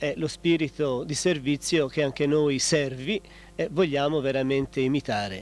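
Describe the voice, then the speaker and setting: The voice moves at a fairly slow pace in a calm tone with ordinary pitch variation, recorded dry with no echo. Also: man. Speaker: friar, convent superior. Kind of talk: TV interview answers, explanatory. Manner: calm, formal, explanatory. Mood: calm, thoughtful. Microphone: handheld.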